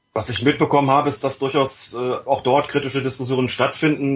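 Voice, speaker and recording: This man talks at a fairly quick pace and a medium pitch. His voice is somewhat breathy, with monotone, flat intonation. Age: 50s. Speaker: journalist and author. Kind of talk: casual chat.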